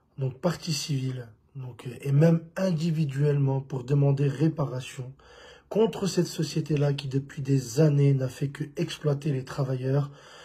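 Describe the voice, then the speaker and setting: A man talks at a fairly slow pace with a fairly high pitch. His voice is somewhat breathy. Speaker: rideshare drivers' union representative. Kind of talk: live video message. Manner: halting, many fillers.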